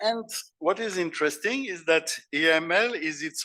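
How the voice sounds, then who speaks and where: A man with a French accent speaks at a fairly slow pace and high pitch, his bright, sharp tone swinging very widely in pitch over a very clean recording with a silent background. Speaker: philosopher and keynote speaker. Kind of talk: conference keynote lecture. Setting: conference stage with audience. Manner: halting, with repetitions.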